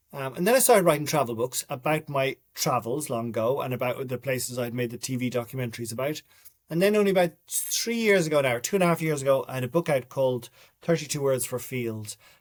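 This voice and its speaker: In a Dublin accent, a man with a medium pitch talks at a very fast pace with ordinary pitch variation. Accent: Dublin Irish. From Ireland, Dublin. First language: Irish. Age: 50s. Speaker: writer and documentary maker. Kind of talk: interview.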